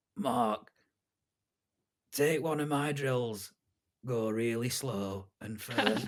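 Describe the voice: A raspy, put-on character voice at a low-to-middle pitch, very slow pace, and long, frequent pauses. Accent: Yorkshire.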